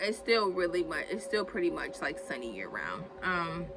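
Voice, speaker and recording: At a fairly slow pace, a woman speaks at medium pitch with ordinary pitch variation against noticeable background noise. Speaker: herbalist vlogger. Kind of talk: casual tutorial vlog. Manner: filler-heavy, halting.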